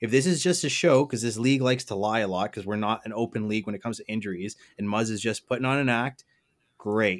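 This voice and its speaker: A man speaks very fast. His pitch is medium. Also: ordinary pitch variation. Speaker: co-host. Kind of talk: casual sports chat.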